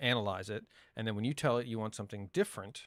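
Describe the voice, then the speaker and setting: A man speaks with ordinary pitch variation. The sound is dry and close with no echo, on a very clean recording against a silent background. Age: 40s. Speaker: tech hobbyist streamer. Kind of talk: live stream tutorial. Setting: live stream. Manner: casual, halting.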